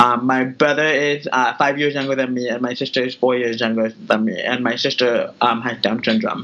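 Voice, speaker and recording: Noticeable background noise sits behind a man with an American accent. He talks with fairly even intonation and hardly any pauses. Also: medium pitch for a man, moderate pace. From California, Bay Area (Tracy). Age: 30s. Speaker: fashion entrepreneur. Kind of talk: interview.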